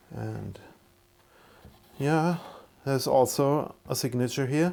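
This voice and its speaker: A man talks at a fairly slow pace with a non-native accent. His tone is dark and mellow, his intonation fairly even. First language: not English. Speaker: guitar builder YouTuber. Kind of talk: casual tutorial. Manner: halting, with many fillers and repeats.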